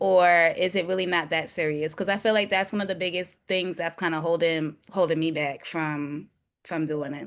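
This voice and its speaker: A woman with a New York accent talks at a moderate pace in a fairly low pitch. Her intonation stays fairly even over a quiet background. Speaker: realtor and new investor. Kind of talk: webinar question. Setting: video call.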